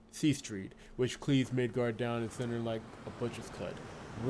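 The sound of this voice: What we hear is an unforced reading voice.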